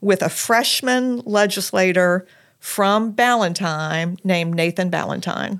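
The recording is very clean, with a silent background. A woman speaks at a medium pitch in an unremarkable speaking voice, with ordinary pitch variation. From South Carolina, Lexington. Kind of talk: interview.

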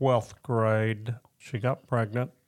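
With a Southern US accent, a man speaks at a medium pitch and fairly even intonation. The recording is very clean, with a silent background. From Northwest Arkansas. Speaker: guest sharing marriage testimony. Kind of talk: testimony.

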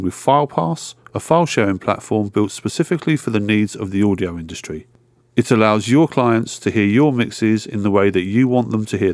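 A man's plain, everyday voice at a fairly low pitch, fairly quick in pace with lively intonation, on a very clean recording with a silent background. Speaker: podcast host. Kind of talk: interview, host intro.

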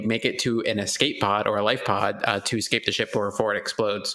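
A man speaks with a fairly low pitch. He has an ordinary speaking voice. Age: 30s. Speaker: podcast co-host. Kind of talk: casual chat.

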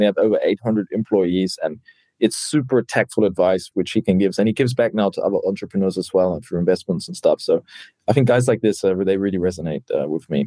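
This man talks at a very fast pace in a New Zealand accent, his fairly low voice dark and mellow, with ordinary pitch variation and a dry, close sound free of echo. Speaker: startup founder and CEO. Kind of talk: interview.

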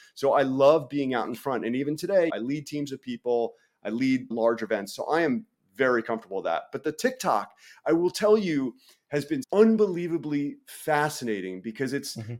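In a very clean recording with a silent background, a man with an American accent and a normal speaking voice talks at a fairly quick pace, his fairly high pitch carrying lively intonation. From US Northeast, New York City. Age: 40s. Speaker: referee and content creator. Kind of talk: casual chat.

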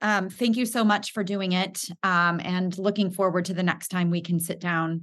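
A woman's normal speaking voice at medium pitch, moderate in pace with hardly any pauses, against a quiet background. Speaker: podcast host. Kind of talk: podcast interview.

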